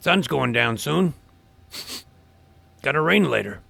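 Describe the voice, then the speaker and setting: In a raspy put-on character voice, a man speaks at a fairly slow pace, his fairly high pitch swinging very widely. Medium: audio drama. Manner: cryptic, offhand.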